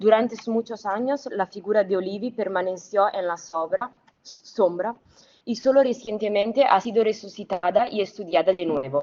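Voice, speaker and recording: A woman speaks at a medium pitch with a non-native accent. Her pace is moderate and her pitch variation ordinary. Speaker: academic researcher. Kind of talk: conference talk. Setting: remote video link. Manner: formal, read from script; occasional stumbles.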